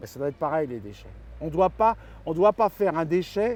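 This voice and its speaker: This man's intonation is lively. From Paris, France. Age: 60s. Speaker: regional election candidate. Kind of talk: interview. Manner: halting, with many repetitions and fillers.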